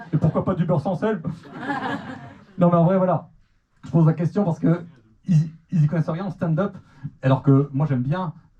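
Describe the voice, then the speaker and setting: Speaking at a moderate pace with long, frequent pauses, a man uses a high pitch and ordinary pitch variation. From Normandy, Manche. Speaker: stand-up comedian. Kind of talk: stand-up. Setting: comedy club stage with audience. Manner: animated.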